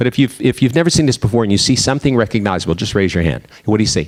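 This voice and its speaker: A man speaks with an American accent. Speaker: diversity speaker. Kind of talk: lecture. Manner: fast.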